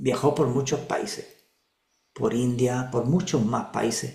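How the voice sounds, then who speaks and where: A man talks at a fairly slow pace in a somewhat breathy voice. There is audible room echo. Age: 60s. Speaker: regression therapist and spiritual teacher. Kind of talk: spiritual talk in an online group session.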